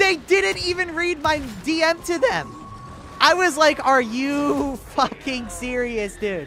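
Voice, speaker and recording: Over noticeable background noise, a raised, projected voice carries an animated tone with very wide pitch swings. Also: man. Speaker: gaming livestreamer. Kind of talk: casual livestream chat reading comments.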